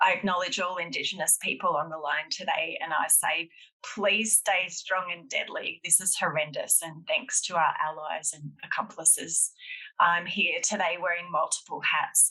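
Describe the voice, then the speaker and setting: This woman has an Australian accent. She talks at a moderate speed. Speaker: public health professor. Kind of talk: panel talk. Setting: webinar.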